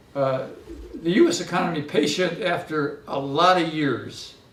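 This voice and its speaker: With an American accent, a man speaks at a fairly slow pace and with ordinary pitch variation, over noticeable background noise and audible room echo. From US Midwest. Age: 70s. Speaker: economist. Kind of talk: lecture. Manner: halting, many fillers.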